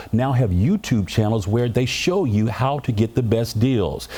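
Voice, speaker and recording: In an unremarkable speaking voice, a man with an American accent talks at a moderate pace and medium pitch with lively intonation. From American, Memphis, Tennessee. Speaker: TV news reporter and anchor. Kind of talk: TV news anchor delivery.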